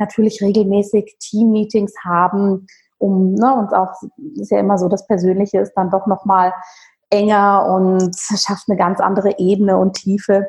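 Her voice is somewhat breathy, and the woman keeps a fairly even intonation. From rural Bavaria, Germany. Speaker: holistic physician and yoga teacher. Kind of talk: interview conversation.

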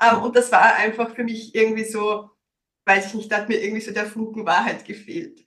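Fairly high in pitch and fairly even in intonation, a woman speaks at a fairly quick pace. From Austria, Styria. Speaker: business consultant and coach. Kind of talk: interview. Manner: many fillers (ähm).

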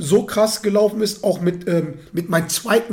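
A man is speaking. His pace is moderate. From Germany, Ruhr area near Dortmund. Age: 30s. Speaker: football fan pundit. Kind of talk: casual chat.

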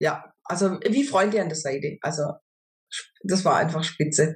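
Her lively intonation runs at a fairly slow pace. The woman's voice is fairly low-pitched and somewhat breathy. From southwest Germany, near Stuttgart. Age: 50s. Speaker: customer testimonial, supermarket cashier. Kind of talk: interview testimony. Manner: hesitant, many filler sounds.

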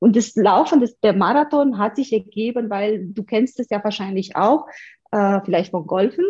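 A woman with a Romanian accent talks at a moderate pace in a fairly high, somewhat breathy voice with a dark, mellow tone and ordinary pitch variation. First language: Romanian (speaking German). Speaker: video marketing entrepreneur. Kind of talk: interview.

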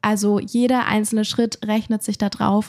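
A woman speaks at medium pitch in a dark, mellow tone, somewhat breathy. The recording is very clean and silent behind her, dry and close with no echo. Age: 20s. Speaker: content creator. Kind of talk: casual conversation.

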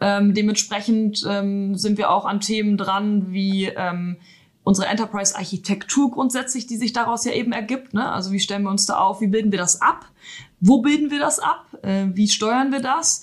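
A somewhat breathy woman's voice at medium pitch, with ordinary pitch variation and a moderate pace. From northern Germany, Emsland. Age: 30s. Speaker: IT manager. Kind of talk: interview.

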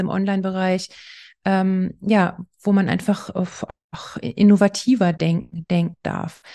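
Over a quiet background, the voice has a dark, mellow tone and monotone, flat intonation, with a dry, close sound and no echo. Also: woman. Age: 40s. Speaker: architect. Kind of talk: interview.

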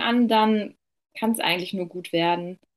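A plain, everyday voice from a woman at a medium pitch, with ordinary pitch variation and a fairly slow pace. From western Germany, Ruhr area near Dortmund. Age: 20s. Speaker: beauty business owner. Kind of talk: client testimonial interview.

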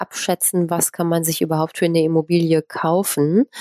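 At a moderate pace, a woman speaks with a fairly low, dark, mellow voice in a very clean recording with a silent background and a dry, close sound with no echo. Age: 40s. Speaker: real estate entrepreneur and investor. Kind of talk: interview. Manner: frequent filler sounds.

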